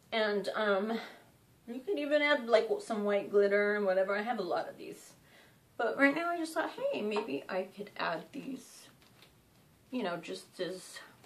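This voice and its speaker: A woman speaks with a fairly high pitch, her voice swinging very widely up and down. Her loudness jumps around a lot, and the room echo is audible. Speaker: DIY crafts creator. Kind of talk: tutorial. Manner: casual, hesitant with fillers.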